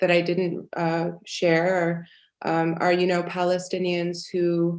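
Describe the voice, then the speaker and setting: A woman talks with a fairly low pitch. Her pace is very slow. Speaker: panelist, academic writer. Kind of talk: panel discussion. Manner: halting, many fillers.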